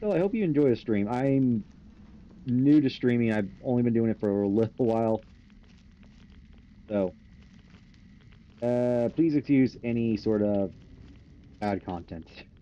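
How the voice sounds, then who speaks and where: Through noticeable background noise, a man speaks at a fairly slow pace with long, frequent pauses. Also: medium pitch for a man, ordinary pitch variation. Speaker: gaming streamer. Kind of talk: live gameplay commentary. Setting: live stream. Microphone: too quiet in stream audio.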